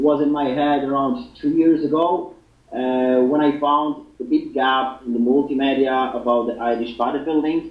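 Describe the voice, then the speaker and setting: A man with a Polish accent speaks at a moderate pace, fairly high in pitch and with fairly even intonation. Noticeable background noise and audible room echo surround him. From Poland. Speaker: fitness website founder. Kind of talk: interview. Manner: halting.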